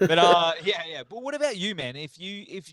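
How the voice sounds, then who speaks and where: With an Australian accent, a man speaks in very wide pitch swings, the sound dry and close with no echo. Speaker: podcast host. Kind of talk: casual chat.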